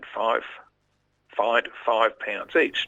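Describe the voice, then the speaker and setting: Fairly slow speech from a man in an Australian accent. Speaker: local history storyteller on radio. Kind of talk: live radio history storytelling. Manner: conversational, lightly humorous.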